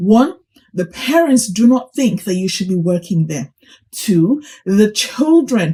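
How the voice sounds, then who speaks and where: The woman's voice is somewhat breathy, with a dark, mellow tone and medium pitch. She speaks at a very slow pace, and her pitch swings very widely. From Nigeria (Kaduna). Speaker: teacher and vlogger. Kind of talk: vlog commentary. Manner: animated.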